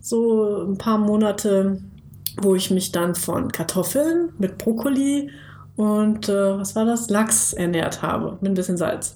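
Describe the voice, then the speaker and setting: With noticeable background noise behind her, a woman speaks at a fairly slow pace in a medium pitch with ordinary pitch variation. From Lower Saxony, Germany (Bad Pyrmont near Hanover). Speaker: podcast co-host, marketing consultant. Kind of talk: casual interview.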